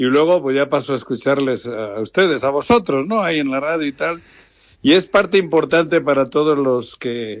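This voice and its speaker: Against a quiet background, a man with a fairly high voice speaks at a moderate pace with lively intonation. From Basque Country, Lemoa (Biscay). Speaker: radio station owner, football club owner. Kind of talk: phone interview.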